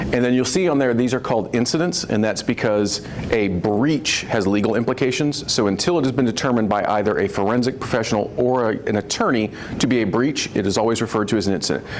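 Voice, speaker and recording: A man rattles along at a very fast pace in a medium pitch, with noticeable background noise around him. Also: ordinary pitch variation, very even loudness. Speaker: insurance underwriter panelist. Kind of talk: panel presentation. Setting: live event with audience.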